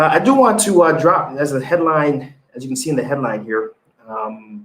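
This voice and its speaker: With a Haitian accent, the speaker uses lively intonation at a moderate pace. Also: man. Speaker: business news show host and entrepreneur. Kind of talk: live show commentary. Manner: halting, many repetitions.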